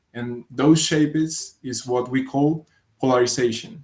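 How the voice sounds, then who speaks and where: In a Spanish accent, a man with a fairly high pitch speaks at a fairly slow pace with fairly even intonation. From Colombia. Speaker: physics researcher. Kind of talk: conference talk. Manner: hesitant, with fillers and repetitions.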